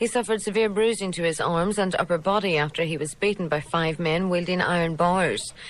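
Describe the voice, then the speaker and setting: Very fast speech from a woman at a medium pitch, ordinary pitch variation throughout. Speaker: radio newsreader. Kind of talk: radio news bulletin.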